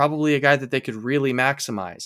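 With an American accent, this speaker talks at a fairly quick pace with ordinary pitch variation. The sound is dry and close with no echo, and the recording is very clean with a silent background. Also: man. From Seattle, US Pacific Northwest. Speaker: baseball draft analyst. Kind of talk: podcast interview. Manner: halting, many repeated words.

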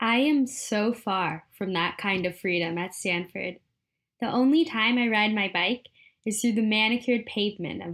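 A woman with an American accent and an ordinary speaking voice, fairly high in pitch with ordinary pitch variation, at a moderate pace in a very clean recording with a silent background. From Philadelphia area. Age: 20s. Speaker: student audio documentary maker. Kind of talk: scripted narration.

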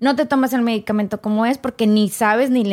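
A woman with a plain, everyday voice, fairly high in pitch, speaks at a moderate pace with ordinary pitch variation. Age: 40s. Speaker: former radio and TV presenter. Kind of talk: testimony.

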